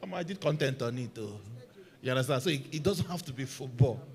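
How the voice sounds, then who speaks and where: A man with a Nigerian accent, medium pitch and a very fast pace. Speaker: football content creator, panelist. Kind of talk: panel discussion.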